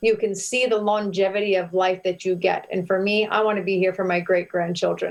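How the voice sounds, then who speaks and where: The delivery is monotone and flat, at a fairly quick pace with hardly any pauses and very even loudness. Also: woman, medium pitch for a woman. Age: 40s. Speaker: health and faith guest. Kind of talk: interview, faith-based health talk. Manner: passionate, preachy.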